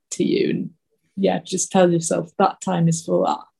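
Somewhat breathy, a woman's medium-pitched voice carries fairly even intonation. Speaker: illustrator and podcast host. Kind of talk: casual chat. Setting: video call.

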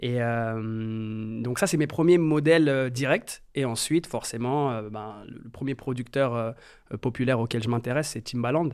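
Speaking at a fairly slow pace, a man with a medium-pitched voice shows ordinary pitch variation on a very clean recording with a silent background. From France, Metz. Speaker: music producer. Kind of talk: interview. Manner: hesitant, many fillers.

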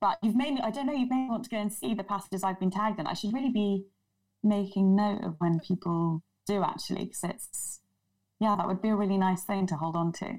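Speaking at a very fast pace, a woman sounds somewhat breathy. Her pitch is medium, with ordinary variation. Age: 30s. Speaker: journalist and author. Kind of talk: casual chat.

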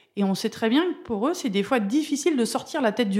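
Against a silent background in a very clean recording, a woman speaks with a high pitch, lively intonation and a fairly quick pace. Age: 40s. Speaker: former ice hockey referee. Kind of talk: interview.

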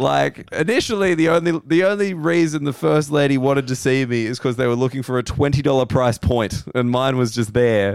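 Speaking at a fairly quick pace, a man with an Australian accent has a medium pitch. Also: lively intonation, hardly any pauses. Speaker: comedian and podcast host. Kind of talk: casual chat. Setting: hotel room.

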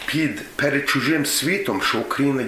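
Audible room echo and noticeable background noise around a man at a moderate tempo. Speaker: former student organizer. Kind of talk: reminiscence.

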